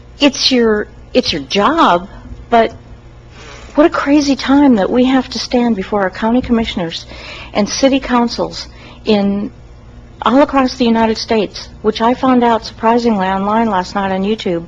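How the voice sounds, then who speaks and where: With noticeable background noise, a woman at a fairly high pitch talks at a moderate pace with ordinary pitch variation and long, frequent pauses. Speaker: citizen giving public comment. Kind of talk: public comment at county meeting. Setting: county commission meeting, at a mic. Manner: unscripted, informal.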